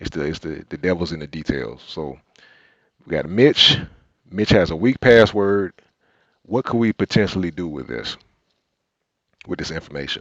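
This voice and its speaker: Very deep and low, a man's voice moves at a moderate pace with lively intonation, big swings in loudness and long, frequent pauses. The sound is dry and close, with no echo. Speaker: cybersecurity instructor. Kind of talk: live tutorial.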